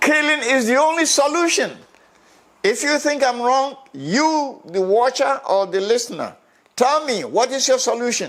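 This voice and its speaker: At an extremely high pitch, a man speaks at a moderate pace with lively intonation and very even loudness. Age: 80s+. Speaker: social commentator. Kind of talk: opinion commentary. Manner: emphatic.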